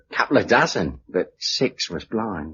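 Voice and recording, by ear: Putting on a character voice, a man talks at a fairly slow pace in a bright, sharp tone with a husky, rough edge and big pitch swings. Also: fairly low pitch for a man.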